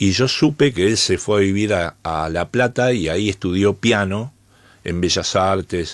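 A plain, everyday voice from a man, fairly low in pitch, with ordinary pitch variation and a fairly slow pace, on a very clean recording with a silent background. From Argentina, Buenos Aires. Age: 60s. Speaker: jazz bassist. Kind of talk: interview.

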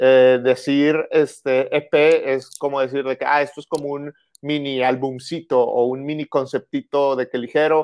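Here is a man with a Monterrey accent and a fairly high pitch. His delivery is fairly slow, with monotone, flat intonation. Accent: marked Monterrey. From northern Mexico, Monterrey. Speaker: musician. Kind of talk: casual interview.

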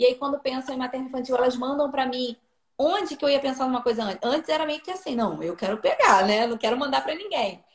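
A woman's high-pitched voice, very fast and full of lively intonation. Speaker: nutritionist. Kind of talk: casual chat.

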